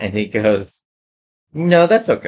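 With a quiet background, a man uses a normal speaking voice at a moderate pace and fairly even intonation. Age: 60s. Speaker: podcast co-host. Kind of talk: casual chat.

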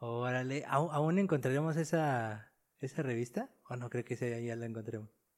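His pitch varies in an ordinary way. The man speaks at a moderate pace. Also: medium pitch for a man. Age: 30s. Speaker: podcast host. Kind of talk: interview. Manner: halting.

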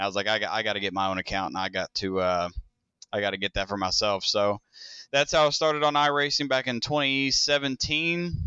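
A man of medium pitch talks at a very fast pace with lively intonation. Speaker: race car driver and team owner. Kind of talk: interview.

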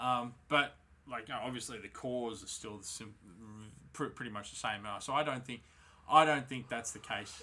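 A man speaks at a moderate pace with long, frequent pauses and fairly even intonation. His medium-pitched voice has a bright, sharp tone, and his loudness swings widely. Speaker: podcast host. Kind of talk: casual chat. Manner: informal, chatty.

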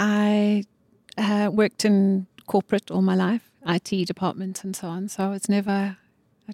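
A woman speaks in an ordinary speaking voice at a medium pitch, with fairly even intonation, on a very clean recording with a silent background and a dry, close sound with no echo. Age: 60s. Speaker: model. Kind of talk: interview.

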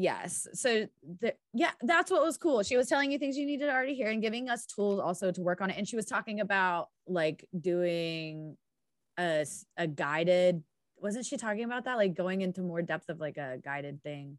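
A woman with an American accent speaks at a moderate pace in a medium pitch, with very wide pitch swings. The sound is dry and close with no echo, over a quiet background. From US Midwest, Indiana. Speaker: podcast co-host. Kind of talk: casual chat.

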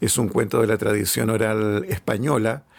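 A man with a Chilean accent speaks at medium pitch. There is vocal fry in his voice, and his pace is moderate. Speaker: author and collector. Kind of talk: casual interview. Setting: at home.

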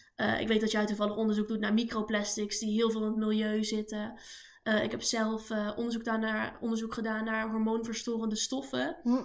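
Her voice sits fairly high for a woman and stays monotone and flat. She speaks at a fairly quick pace. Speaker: podcast co-host, toxicology student. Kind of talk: casual chat.

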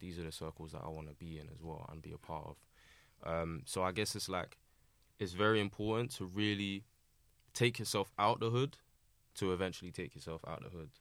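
A man with a South London accent and very deep, low pitch, at a fairly quick pace with ordinary pitch variation and big swings in loudness, in a very clean recording with a silent background. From Southeast London, Lewisham. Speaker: music producer and engineer. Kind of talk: casual chat.

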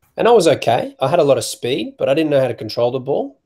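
A somewhat breathy man with an Australian accent, a dark, mellow tone and lively intonation. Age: 20s. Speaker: youth basketball volunteer. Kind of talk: casual interview. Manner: halting, many fillers.

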